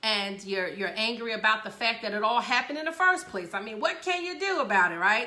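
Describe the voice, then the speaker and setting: A fairly high-pitched woman's voice with very wide pitch swings and audible room echo. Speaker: radio show host. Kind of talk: casual talk show monologue.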